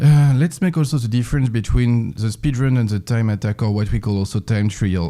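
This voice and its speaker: A man speaks in a French accent at a medium pitch. His tone is dark and mellow, with ordinary pitch variation. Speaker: speedrun lecturer. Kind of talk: lecture. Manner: halting, many fillers.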